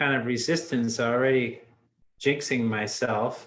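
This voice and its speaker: A man's intonation stays fairly even as he talks at a medium pitch. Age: 60s. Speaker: dharma group leader. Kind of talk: group discussion. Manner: halting.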